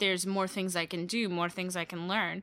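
A woman speaks with an American accent and a bright, sharp tone. The recording is very clean, with a silent background. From Brooklyn, New York. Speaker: youth festival organizer. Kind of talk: casual chat.

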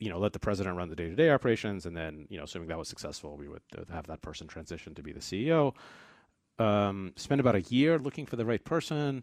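Fairly low in pitch yet swinging very widely, a man with an American accent speaks at a very fast pace in a very clean recording with a silent background. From New York, US (born in Russia, moved at eight). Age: 40s. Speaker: tech entrepreneur. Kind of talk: casual interview conversation. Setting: radio studio. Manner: fast, filler-heavy, frequent 'uh', 'like' and restarts.

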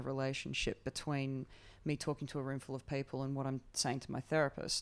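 With an Australian accent, a woman speaks at a very deep, low pitch and a fairly quick pace on a very clean recording with a silent background. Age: 40s. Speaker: comedian. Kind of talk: casual chat.

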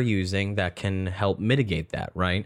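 A man speaks at a fairly slow pace with ordinary pitch variation, against a quiet background. He has an ordinary speaking voice. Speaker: podcast host. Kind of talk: casual chat. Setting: home office.

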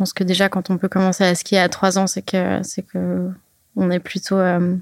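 A woman talks at a fairly slow pace and a medium pitch. The sound is dry and close with no echo, on a very clean recording with a silent background. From French-speaking Switzerland (Lausanne, Verbier). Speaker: freeride skier. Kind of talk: casual interview. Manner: halting, many fillers and repetitions.

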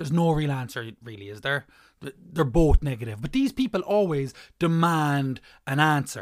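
The speaker has an Irish accent and a moderate pace. The recording is very clean, with a silent background. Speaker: comedian. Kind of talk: stand-up comedy rant with a scripted feel.

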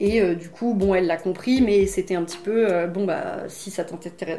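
Over noticeable background noise, a woman talks fairly quickly at medium pitch with fairly even intonation. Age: 30s. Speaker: naturopath. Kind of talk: interview testimony. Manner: hesitant, many fillers.

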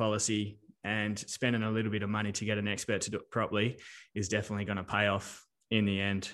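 An Australian accent at a fairly quick pace, over a quiet background. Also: man. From Western Australia. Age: 30s. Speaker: accountant and business adviser. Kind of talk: interview.

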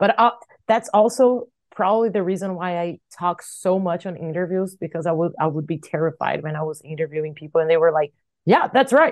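Against a quiet background, a woman speaks at a fairly quick pace with a Portuguese accent. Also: ordinary pitch variation. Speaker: metal singer and bassist. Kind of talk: interview. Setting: video call.

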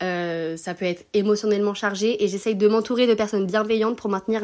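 On a very clean recording with a silent background, a woman talks at a moderate pace and medium pitch. It is an ordinary speaking voice with fairly even intonation. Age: 20s. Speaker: student. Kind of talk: recorded testimony.

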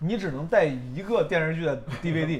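A man's fairly high voice with lively intonation and audible room echo. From Northeast China. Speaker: podcast host and stand-up comedian. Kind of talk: casual chat. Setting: restaurant.

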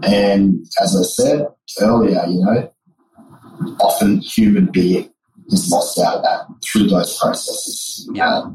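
A man with an Australian accent, speaking at a very slow pace with very even loudness. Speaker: beverage company co-founder and psychologist. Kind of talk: interview. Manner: casual, with fillers and repetitions.

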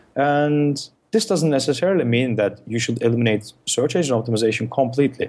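In a Turkish accent, a man talks at a fairly quick pace. His pitch is medium and his intonation is lively. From Turkey. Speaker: SEO consultant, ex-Google search analyst. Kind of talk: interview, explanatory talk.

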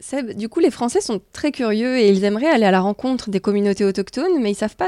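On a very clean recording with a silent background and a dry, close sound with no echo, a woman speaks at a very fast pace in a dark, mellow, fairly high voice with lively intonation. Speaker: podcast co-host. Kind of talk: travel podcast hosting, partly scripted.

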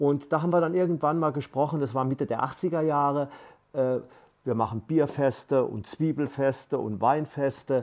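With an unremarkable speaking voice, a man talks at a fairly high pitch and a moderate pace, showing ordinary pitch variation against a quiet background. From Palatinate, Germany. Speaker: aid volunteer, retired teacher. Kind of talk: interview. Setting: studio.

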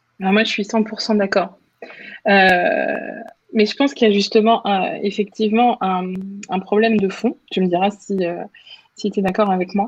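A woman speaks at medium pitch and a moderate pace, with ordinary pitch variation. Her pauses are long and frequent. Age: 30s. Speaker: communications manager. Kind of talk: interview conversation. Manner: hesitant, frequent filler.

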